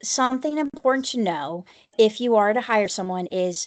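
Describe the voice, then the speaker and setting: Against a quiet background, a woman with a plain, everyday voice speaks at a moderate pace, fairly high in pitch and with lively intonation. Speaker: special education advocate. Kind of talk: conference presentation.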